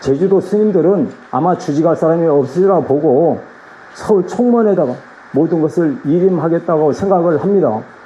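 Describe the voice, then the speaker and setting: Loudness stays very even as a man speaks at a high pitch and moderate pace, with ordinary pitch variation over noticeable background noise. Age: 60s. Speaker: Buddhist monk, head of regional temple office. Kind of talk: address at a meeting of monks. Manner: halting, with false starts.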